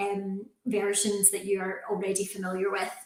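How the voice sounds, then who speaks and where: Someone speaks with a Scottish accent in a room with audible echo. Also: woman. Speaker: university recruitment manager. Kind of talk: presentation to prospective students.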